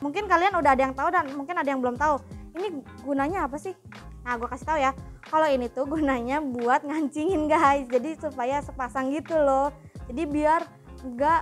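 A woman's high-pitched voice at a fairly quick pace with ordinary pitch variation, faint music in the background. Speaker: presenter. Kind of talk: product review chat. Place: shop. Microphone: lapel.

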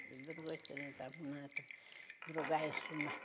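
A woman speaks at a fairly slow pace while noticeable background noise is heard. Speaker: folk craftswoman. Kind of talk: storytelling. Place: hall.

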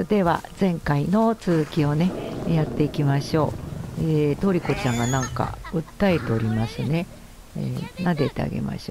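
A woman's very deep, low voice with lively intonation at a moderate pace, over noticeable background noise. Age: 70s. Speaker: gamer. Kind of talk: gameplay commentary. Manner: gentle, chatty.

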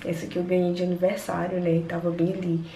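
A woman speaks at a very fast pace. Light background noise and audible room echo are present. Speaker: vlogger. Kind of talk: casual vlog chat. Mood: playful, joking. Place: bathroom. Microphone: phone near.

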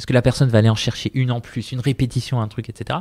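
A man talks very fast at a medium pitch, his tone dark and mellow, somewhat breathy, with ordinary pitch variation. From southern Spain (Malaga). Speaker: startup founder. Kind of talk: casual interview.

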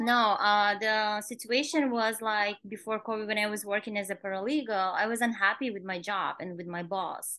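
Bright and sharp in tone, a woman's voice comes through. The sound is dry with no echo, against a quiet background. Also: fairly even intonation, moderate pace, hardly any pauses. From Kazakhstan. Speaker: nail salon owner; podcast guest. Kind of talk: interview. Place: home room. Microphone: video call.

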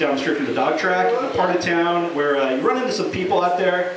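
A man amid audible room echo and noticeable background noise. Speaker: open-mic stand-up comedian. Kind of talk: stand-up comedy set at an open mic, with scripted jokes and bits. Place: bar. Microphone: camera far.

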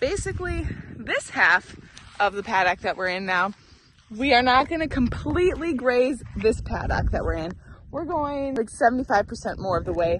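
Here a woman's pitch swings very widely as she talks at a fairly slow pace. The sound is dry with no echo, though background noise is noticeable. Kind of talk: casual vlog chat. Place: open country. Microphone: phone near.

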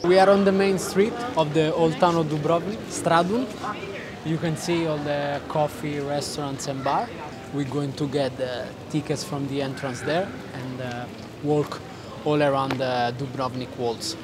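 The speech goes at a fairly slow pace over noticeable background noise. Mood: excited, impressed. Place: street. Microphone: phone near.

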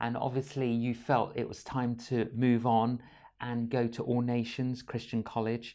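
In a quiet background, a man delivers his words at a fairly slow pace. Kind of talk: interview. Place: studio. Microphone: lapel.

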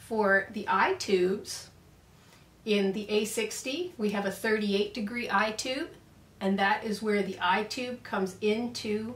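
A woman at a fairly slow pace with ordinary pitch variation, in a room with audible echo. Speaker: product reviewer. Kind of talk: product review tutorial. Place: workshop.

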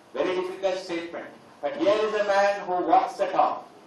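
With strong room echo around him, a man speaks at a fairly slow pace with ordinary pitch variation. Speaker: teacher giving a seminar address. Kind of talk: lecture. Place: hall.

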